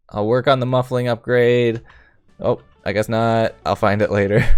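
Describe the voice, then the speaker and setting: A man talks at a moderate pace in a medium pitch. Behind him, music is playing. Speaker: gaming YouTuber. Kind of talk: let's play commentary. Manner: casual, chatty.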